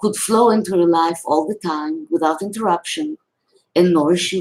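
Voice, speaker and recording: A woman with a non-native accent at medium pitch and a moderate pace. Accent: foreign. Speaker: spiritual teacher. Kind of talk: reading aloud. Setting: live video. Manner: reading from a script.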